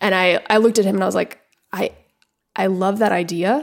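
A woman's animated voice at a medium pitch. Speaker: writer-director. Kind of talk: casual chat. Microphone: echoey room.

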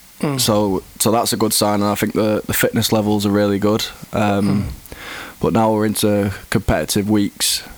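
Over noticeable background noise, a man with an English accent talks at a moderate pace in a fairly low pitch, his intonation monotone and flat. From England. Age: 20s. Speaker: professional footballer. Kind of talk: interview.

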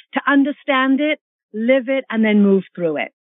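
This woman has a normal speaking voice, moving at a moderate pace with lively intonation. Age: 50s. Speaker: fitness expert and author. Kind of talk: interview.

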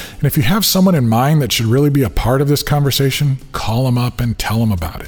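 A man's fairly quick speech, with ordinary pitch variation, is heard over noticeable background noise. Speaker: podcast host. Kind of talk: scripted narration.

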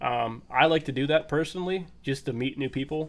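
A very clean recording with a silent background captures a man speaking at medium pitch. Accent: western Pennsylvania. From Pennsylvania, small town. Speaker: bow hunting contest moderator, forester. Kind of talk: casual chat.

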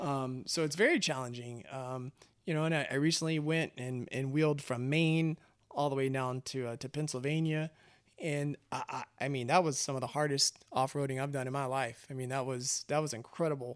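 An unremarkable speaking voice from a man with an American accent, fairly high pitch, fairly even intonation and a moderate pace, on a very clean recording with a silent background. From Texas, Austin. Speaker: automotive industry manager. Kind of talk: casual interview. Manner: casual, many filler words.

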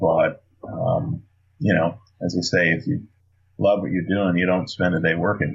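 A man speaks with a very deep, low pitch and a somewhat breathy quality. His intonation is lively, broken by long, frequent pauses. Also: moderate pace. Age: 50s. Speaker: lean consultant and bourbon distiller. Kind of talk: casual interview.

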